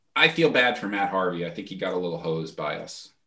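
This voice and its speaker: Bright and sharp, this man's voice carries an American accent and vocal fry. His pitch swings very widely. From New York, Peekskill. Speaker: author. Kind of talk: casual chat.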